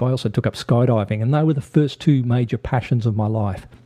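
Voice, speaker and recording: Talking at a very fast pace in an Australian accent, a man uses lively intonation, his tone dark and mellow and somewhat breathy. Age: 50s. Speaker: podcast host. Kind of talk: podcast monologue.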